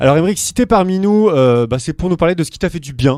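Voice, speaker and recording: A man speaks very fast in a dark, mellow tone, his intonation lively. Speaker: radio host. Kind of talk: interview. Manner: loud.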